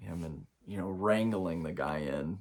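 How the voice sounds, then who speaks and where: Here a man talks with an American accent at a fairly slow pace. His pitch varies in an ordinary way over a very clean recording with a silent background. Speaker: spiritual coach. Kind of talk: spiritual talk to camera. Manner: halting, with many fillers.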